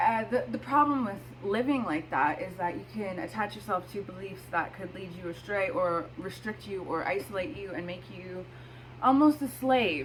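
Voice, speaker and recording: A woman at a moderate pace with very wide pitch swings, over noticeable background noise. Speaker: astrology video host. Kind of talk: casual talk to camera.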